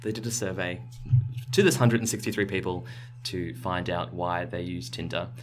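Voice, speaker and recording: Over music in the background and audible room echo, the speech goes at a fairly slow pace with lively intonation and long, frequent pauses. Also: man, fairly low pitch for a man. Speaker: science podcast host. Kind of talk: casual chat. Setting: small recording space with carpeted walls.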